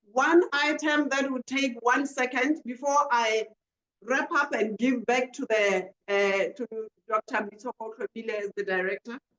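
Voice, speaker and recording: Speaking with a Botswana accent, a woman takes a fairly slow pace. Her intonation is lively. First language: Setswana. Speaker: panel moderator. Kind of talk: webinar panel moderation.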